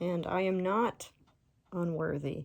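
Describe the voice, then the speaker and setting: Speaking with an American accent, a woman keeps a fairly low pitch and a monotone, flat intonation. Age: 20s. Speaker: Marine veteran and nurse. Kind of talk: spiritual talk to camera. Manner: casual, unscripted, hesitant.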